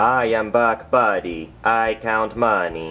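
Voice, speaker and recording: A man puts on a cartoonish character voice that sounds robotic. His pitch is medium and his pace fairly slow. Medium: puppet show. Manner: irritable, mechanical.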